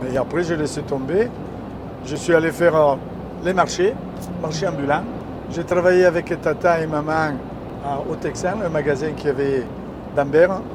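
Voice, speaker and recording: A man's fairly high voice at a moderate pace, fairly even in intonation, with long, frequent pauses and noticeable background noise. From Italy (Ferrara). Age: 70s. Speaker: truck driver. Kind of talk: casual interview. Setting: in a truck.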